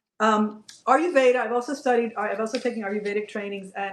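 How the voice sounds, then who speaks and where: With a medium pitch and ordinary pitch variation, a woman talks at a very fast pace. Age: 60s. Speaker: functional nutrition practitioner and yoga teacher. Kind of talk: interview. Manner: animated.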